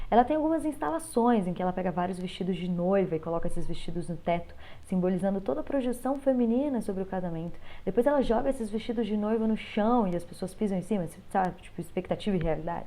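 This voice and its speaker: This woman's medium-pitched voice has a dark, mellow tone and lively intonation, delivered at a very fast pace. Audible room echo surrounds her speech. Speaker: teacher. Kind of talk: lecture. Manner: animated.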